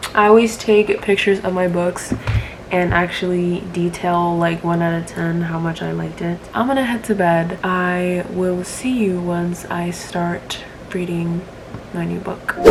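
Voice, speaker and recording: A woman with a fairly low pitch speaks at a fairly slow pace with fairly even intonation. Audible room echo and noticeable background noise fill the recording. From Peru. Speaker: book vlogger. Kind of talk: casual vlog.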